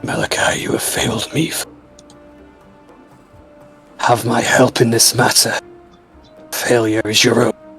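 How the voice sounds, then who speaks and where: A man growls in a put-on character voice, flat and monotone, at a moderate pace with long, frequent pauses. Clear music plays in the background. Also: medium pitch for a man. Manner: menacing, scolding.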